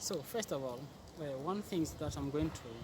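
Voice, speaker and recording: This man has a normal speaking voice, fairly high in pitch. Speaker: English learner. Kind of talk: interview answer.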